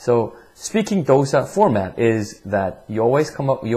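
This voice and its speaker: A man's medium-pitched, dark, mellow voice, somewhat breathy, with lively intonation and a slight Korean accent. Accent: slight non-native, Korean. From Korea, then Vancouver, Canada from school age. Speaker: English test prep teacher. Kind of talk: tutorial. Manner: halting, many repetitions and fillers.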